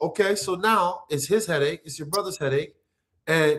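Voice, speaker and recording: Loudness swings widely as a man speaks with a slight New York accent. His pace is fairly quick and his intonation lively. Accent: watered-down accent, sounds like New York. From Nigeria. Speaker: reality TV personality and real estate investor. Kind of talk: casual chat.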